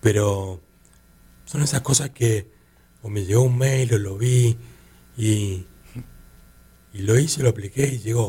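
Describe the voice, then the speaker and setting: Speaking with a Rioplatense accent, a man uses a medium pitch and a dark, mellow, somewhat breathy tone, with ordinary pitch variation, a fairly slow pace, and long, frequent pauses. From Argentina, Buenos Aires. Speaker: artist and advertising creative. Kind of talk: interview. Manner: halting, many repetitions and fillers.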